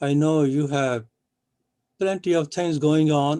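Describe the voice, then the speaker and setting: Very slow and dark, mellow in tone, a man's voice comes through dry and close with no echo. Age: 80s+. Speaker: professor and event organizer. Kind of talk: formal thanks. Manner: formal.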